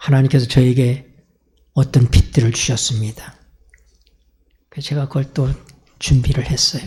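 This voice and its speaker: A man with a dark, mellow tone and a medium pitch speaks at a moderate pace, with long, frequent pauses. His voice is somewhat breathy and his intonation fairly even. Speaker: pastor. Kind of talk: sermon.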